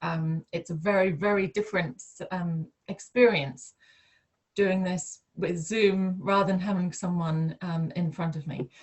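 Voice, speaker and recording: Somewhat breathy, a woman speaks at a moderate pace with a fairly low pitch and ordinary pitch variation. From mid Wales. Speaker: plant medicine practitioner. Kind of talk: personal introduction on video call. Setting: video call. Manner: measured; hesitant, many fillers.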